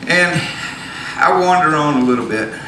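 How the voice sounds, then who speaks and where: A man with a Southern US accent, amid noticeable background noise. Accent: southern drawl. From from around Raleigh, North Carolina. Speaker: storyteller on stage. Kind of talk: live storytelling monologue. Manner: casual, conversational storytelling. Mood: casual humorous. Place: stage. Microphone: handheld.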